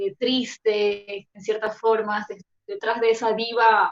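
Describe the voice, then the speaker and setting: Fairly high in pitch, a woman is talking. Her sound is dry and close, without echo. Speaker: actress. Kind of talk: panel discussion.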